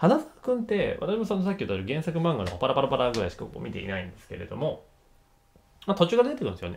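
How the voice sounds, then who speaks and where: Very fast, animated delivery from a man, big swings in loudness, light background noise. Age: 30s. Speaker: YouTuber reviewing TV dramas. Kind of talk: casual commentary monologue. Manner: animated, frequent laughter.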